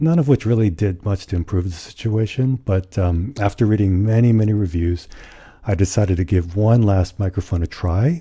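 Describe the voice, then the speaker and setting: A man's very deep, low voice, somewhat breathy, with a dark, mellow tone, moderate pace and ordinary pitch variation. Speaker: podcast co-host. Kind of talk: casual podcast chat.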